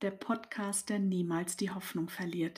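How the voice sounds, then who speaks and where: A woman speaks at a medium pitch, somewhat breathy. The recording is very clean with a silent background. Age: 50s. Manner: warm, cheerful.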